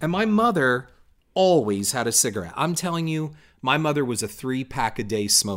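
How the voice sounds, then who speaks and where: The voice is loud, moving at a moderate pace with very wide swings in pitch. The recording is very clean, with a silent background. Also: man, medium pitch for a man. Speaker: blogger's husband, co-host. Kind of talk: casual chat.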